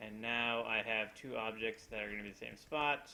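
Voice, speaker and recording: A man talks in an unremarkable speaking voice at medium pitch. His intonation stays fairly even. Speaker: 3D modeling instructor. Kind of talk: screen-recorded software tutorial. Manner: casual, with fillers.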